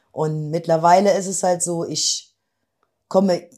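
A woman's dark, mellow tone unfolds at a very slow pace. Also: very clean recording, silent background. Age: 50s. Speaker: office clerk, weight-loss program participant. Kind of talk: interview. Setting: in person, same room as host.

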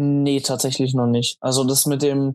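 A man with an ordinary speaking voice, fairly high in pitch, talks at a fairly slow pace with fairly even intonation. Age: 20s. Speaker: amateur bodybuilder with type 1 diabetes. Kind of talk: casual interview.

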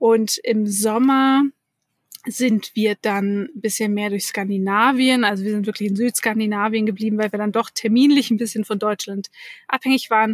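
A woman speaks at a moderate pace and a fairly high pitch, somewhat breathy. Her intonation is fairly even, with a dry, close sound and no echo. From Hamburg, northern Germany. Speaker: digital workplace consultant. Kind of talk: interview. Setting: remote call.

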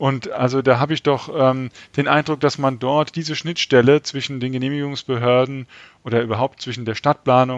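Fairly quick and fairly even in intonation, a man speaks at a medium pitch. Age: 50s. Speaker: sociology professor. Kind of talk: interview. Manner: hesitant, many filler sounds.

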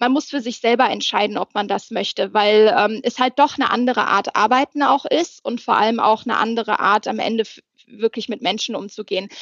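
Fairly high-pitched woman at a fairly quick pace, ordinary pitch variation, dry, close sound with no echo. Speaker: HR manager. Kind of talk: casual interview. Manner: loud.

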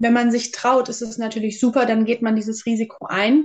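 A woman speaks at a moderate pace. Her pitch sits fairly high. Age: 30s. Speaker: aspiring psychological counsellor. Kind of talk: interview. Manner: hesitant, many filler sounds.

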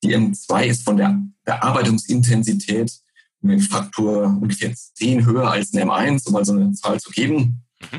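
A man speaks at a medium pitch and a moderate pace, his voice swinging very widely up and down. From Bavaria. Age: 30s. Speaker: head of a post-processing business unit. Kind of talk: technical interview. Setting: remote call via internet. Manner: halting, many fillers.

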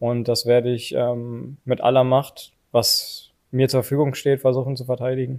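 At a moderate pace and medium pitch, a man speaks in a flat monotone with hardly any pauses. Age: 30s. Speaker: professional footballer. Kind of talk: casual interview. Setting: stadium. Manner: hesitant, many fillers.

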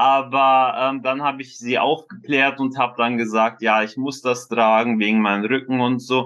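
The speech moves at a moderate pace with hardly any pauses against a quiet background. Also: man, medium pitch for a man, fairly even intonation. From Bonn, western Germany. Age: 20s. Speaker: scoliosis patient. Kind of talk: interview. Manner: halting, many filler sounds.

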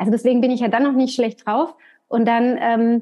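This woman speaks in a high pitch. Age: 30s. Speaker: hairdresser and salon trainer. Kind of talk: casual chat. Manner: animated.

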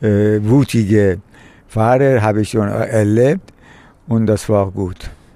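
Speaking very slowly, a man has a dark, mellow tone at a fairly low pitch with ordinary pitch variation. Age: 70s. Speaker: retired film scholar and climate activist. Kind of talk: interview.

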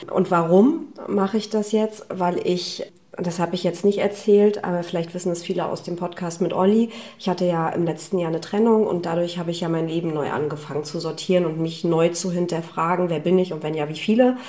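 Over noticeable background noise, a woman talks at a fairly quick pace in a fairly low voice with fairly even intonation. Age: 30s. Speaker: business leader. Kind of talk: casual interview. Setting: kitchen at host's home.

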